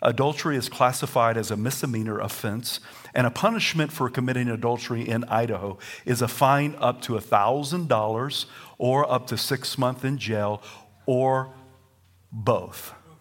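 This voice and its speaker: With a Southern US accent, a man talks at a moderate pace in an animated tone, his medium pitch showing ordinary variation. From US South. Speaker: pastor. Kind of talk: sermon. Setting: church.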